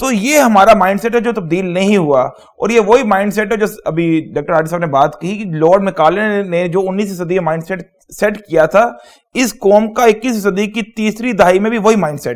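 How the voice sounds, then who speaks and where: A man's high-pitched voice in a Punjabi accent, with ordinary pitch variation and a moderate pace. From Pakistan, Lahore. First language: Punjabi (speaking Hindi). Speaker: talk show panelist. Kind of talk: talk show discussion.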